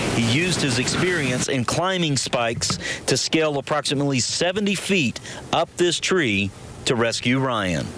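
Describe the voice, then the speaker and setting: Noticeable background noise accompanies a man with a fairly high pitch and lively intonation, speaking at a moderate pace. His loudness is very even, and the sound is dry with no echo. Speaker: television field reporter. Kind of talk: live TV news report from location.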